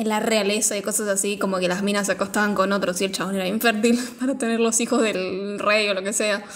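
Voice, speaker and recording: Amid audible room echo, a woman with a Rioplatense accent speaks at a very fast pace in a flat monotone. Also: medium pitch for a woman, hardly any pauses. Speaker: podcast co-host, film reviewer. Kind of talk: casual chat.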